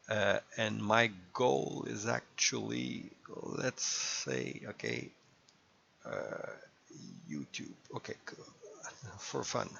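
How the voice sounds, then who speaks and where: A man at a very slow pace, long, frequent pauses, and noticeable background noise. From Quebec. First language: French. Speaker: gaming YouTuber. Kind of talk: casual gameplay commentary. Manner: halting, many fillers.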